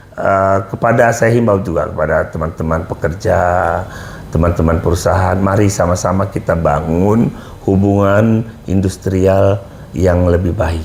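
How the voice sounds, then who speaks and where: A man speaks at a moderate pace in a very deep, low pitch with fairly even intonation and very even loudness. Noticeable background noise sits behind him. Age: 60s. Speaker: HR practitioner and company manager. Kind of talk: talk show interview.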